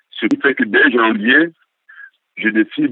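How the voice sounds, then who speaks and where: A man with a Cameroonian accent speaks at a fairly slow pace. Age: 60s. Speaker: political activist. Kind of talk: interview testimony. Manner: halting.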